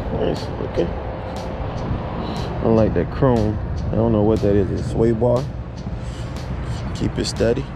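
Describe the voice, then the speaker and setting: Music plays in the background as a man speaks with ordinary pitch variation and long, frequent pauses, the sound dry with no echo. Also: fairly slow pace. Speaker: vlogger at car show. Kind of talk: casual vlog chat. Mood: relaxed, admiring. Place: street. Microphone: phone near.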